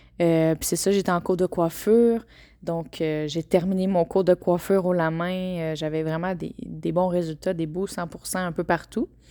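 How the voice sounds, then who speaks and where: In a Quebec accent, a woman with a fairly low pitch and a dark, mellow tone speaks at a fairly slow pace with fairly even intonation, on a very clean recording with a silent background. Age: 20s. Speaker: podcaster. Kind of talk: personal testimony. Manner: hesitant with many fillers.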